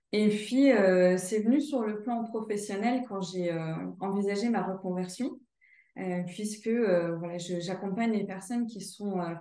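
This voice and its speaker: A woman speaks at medium pitch, with audible room echo. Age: 30s. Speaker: sophrologist and career counselor. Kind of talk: testimonial interview. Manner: hesitant, many fillers.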